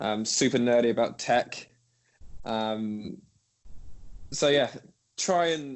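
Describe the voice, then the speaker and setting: A medium-pitched man's voice with an English accent. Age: 20s. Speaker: music tech entrepreneur. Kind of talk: podcast interview. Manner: halting, many fillers.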